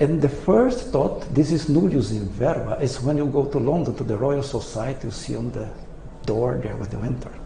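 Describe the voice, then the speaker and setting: In a Portuguese accent, a man speaks at a medium pitch and a moderate pace with ordinary pitch variation, amid audible room echo and noticeable background noise. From Brazil. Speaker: retired engineering professor. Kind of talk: lecture. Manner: halting.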